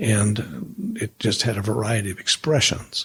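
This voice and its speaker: A man's somewhat breathy voice at a medium pitch. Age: 70s. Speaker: former pastor and leadership consultant. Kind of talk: interview conversation.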